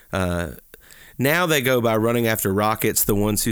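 Heard in a very clean recording with a silent background, a man with a Southern US accent speaks at a medium pitch with ordinary pitch variation. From Alabama (Talladega). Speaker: podcast co-host, pastor. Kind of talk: casual chat about books.

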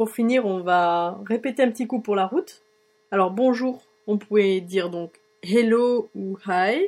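This woman speaks very slowly in a fairly high voice. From France. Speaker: blogger. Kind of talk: tutorial. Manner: hesitant.

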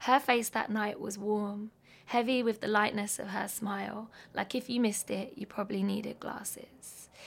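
A woman speaks at a moderate pace and a fairly high pitch, somewhat breathy. Her intonation is monotone and flat. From London. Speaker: artist. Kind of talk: casual chat about music and life, podcast interview. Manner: reflective, conversational.

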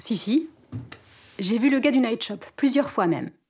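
A woman puts on a character voice that is high-pitched and hoarse. Her intonation is lively and her pace is moderate.

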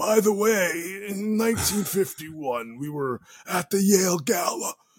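The speaker puts on a character voice and delivers it at a fairly slow pace. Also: man, high pitch for a man.

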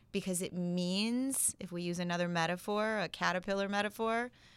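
At a fairly slow pace, a woman speaks in an ordinary speaking voice with fairly even intonation. The recording is very clean, with a silent background. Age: 40s. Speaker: life coach and meditation teacher. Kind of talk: casual interview chat.

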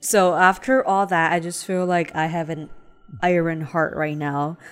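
A woman's fairly low voice in a Chinese accent, at a fairly slow pace with fairly even intonation. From China (Shanghai). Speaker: podcast co-host. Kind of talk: casual chat.

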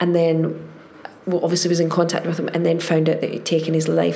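A woman with a Glaswegian accent and a fairly low pitch, amid noticeable background noise and audible room echo. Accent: Glaswegian Scottish. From Scotland, Glasgow. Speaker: actress. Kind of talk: casual chat.

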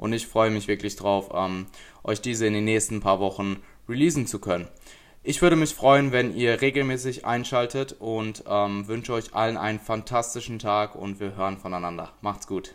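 A plain, everyday voice from a man, fairly low in pitch, at a moderate pace with ordinary pitch variation, in a very clean recording with a silent background. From Essen, Germany. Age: 20s. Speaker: podcast host and online personal trainer. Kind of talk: solo podcast introduction.

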